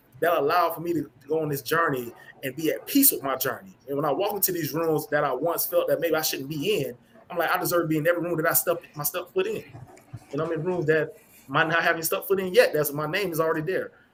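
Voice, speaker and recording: Against noticeable background noise, a man with a fairly high pitch speaks at a very fast pace with fairly even intonation. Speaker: panelist. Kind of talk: live-stream panel discussion.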